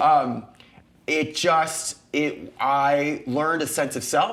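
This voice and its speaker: Over noticeable background noise, a man with a fairly high pitch speaks in an animated tone. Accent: American. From United States. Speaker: actor and talk show host. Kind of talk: casual interview chat.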